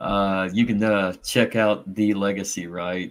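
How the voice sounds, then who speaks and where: This man has a Southern Indiana accent and a fairly low pitch. His intonation stays flat and monotone. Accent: southern Indiana twang. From southeastern Indiana, US. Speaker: podcast host. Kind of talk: casual panel chat.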